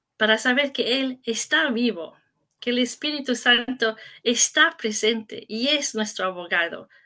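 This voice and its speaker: In a bright, sharp tone, a woman with an English-speaking accent speaks at a fairly high pitch. She talks very slowly against a quiet background. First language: English (speaking Spanish). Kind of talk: conference talk. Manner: halting, self-correcting.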